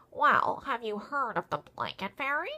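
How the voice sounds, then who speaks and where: A woman puts on a character voice with high pitch and lively intonation. Her pace is moderate. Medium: read story. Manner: knowing, advice-giving.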